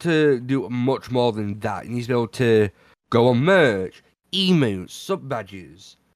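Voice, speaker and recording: Lively intonation marks this man's medium-pitched voice with a British accent. The recording is very clean, with a silent background. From Britain. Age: 20s. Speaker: podcast co-host and streamer. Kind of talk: casual chat.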